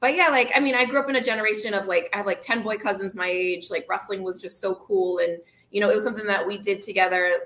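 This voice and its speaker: Very fast, medium-pitched speech from a woman, ordinary pitch variation, and noticeable noise in the background. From Dorchester, Boston, US. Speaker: wrestling show co-host. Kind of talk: casual live show chat. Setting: live stream studio.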